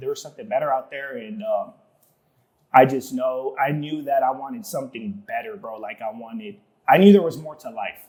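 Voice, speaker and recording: Speaking fairly quickly in an American accent, a man with a fairly high voice makes very wide pitch swings and big swings in loudness. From Southeast San Diego, California. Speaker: tile installer. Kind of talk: casual podcast interview. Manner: casual, slangy with many fillers.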